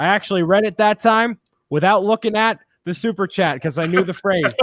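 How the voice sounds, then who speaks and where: Lively intonation at a moderate pace with a Boston accent, in a dry, close sound with no echo. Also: man. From Boston, US. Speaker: YouTube co-host. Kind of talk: casual chat.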